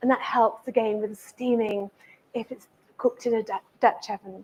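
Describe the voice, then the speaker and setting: Pitched high, a woman speaks with an English accent and ordinary pitch variation. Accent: sounds very English. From Italy, Amalfi coast, moved to England at 12. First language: Italian. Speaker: chef and cookery teacher. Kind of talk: cooking demonstration. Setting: cookery school demonstration with live audience.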